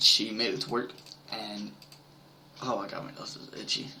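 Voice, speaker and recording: Moderate pace against noticeable background noise. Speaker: gaming video creator. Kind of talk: casual gameplay commentary. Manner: hesitant, many fillers.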